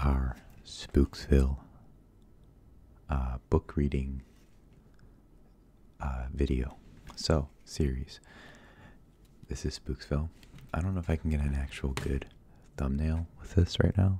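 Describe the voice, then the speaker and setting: A man speaks at a fairly slow pace with long, frequent pauses, his very deep, low pitch carrying a dark, mellow tone. His voice is somewhat breathy with fairly even intonation, and the sound is dry with no echo. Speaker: ASMR reader. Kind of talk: casual talk to camera. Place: home room.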